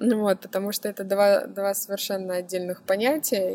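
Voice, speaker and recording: This woman has an unremarkable speaking voice, a medium pitch and fairly even intonation. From Russia, Moscow. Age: 30s. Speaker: blogger and photographer. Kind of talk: interview.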